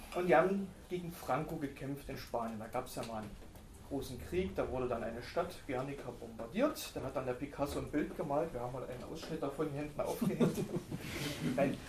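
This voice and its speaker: A man's fairly high-pitched, fairly quick speech, with audible room echo and noticeable background noise. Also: ordinary pitch variation. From former East Germany. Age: 30s. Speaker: book discussion co-host. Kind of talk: panel discussion.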